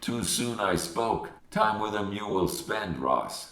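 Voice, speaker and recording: A man uses a put-on character voice at a fairly low pitch. He goes at a fairly slow pace, with slight echo. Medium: read story. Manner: inverted word order, terse.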